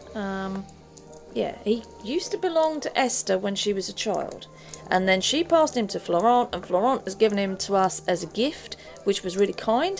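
Music plays in the background as a woman speaks at a moderate pace. Her medium-pitched voice has lively intonation. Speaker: tabletop game player. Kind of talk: casual in-character roleplay and chat.

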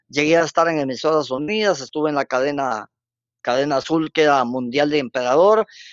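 Here is an ordinary speaking voice from a man with a fairly high pitch. His loudness stays very even. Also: ordinary pitch variation, fairly quick pace. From Guatemala, Zacapa. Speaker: radio broadcaster. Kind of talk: casual interview.

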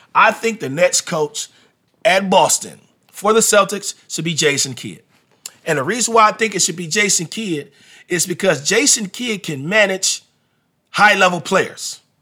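A man with a high pitch projects a raised voice at a moderate pace, his bright, sharp tone and lively intonation captured in a very clean recording with a silent background. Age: 40s. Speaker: basketball podcast host and coach. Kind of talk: casual sports talk monologue.

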